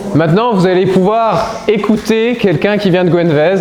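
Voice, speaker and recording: A man's high voice with ordinary pitch variation over noticeable background noise. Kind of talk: testimony talk to an audience. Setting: speaking without microphone to a live audience.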